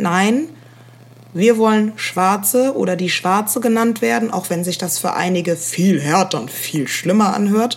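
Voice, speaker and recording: A woman at a medium pitch and fairly slow pace, with ordinary pitch variation over noticeable background noise. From Germany, Rhineland-Palatinate (Koblenz). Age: young. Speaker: podcast co-host. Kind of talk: casual chat. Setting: remote recording.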